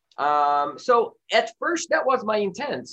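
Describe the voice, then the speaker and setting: A man with a Portuguese accent, his pitch swinging very widely. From Brazil, Rio de Janeiro. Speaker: film director. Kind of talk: interview. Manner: halting, many fillers.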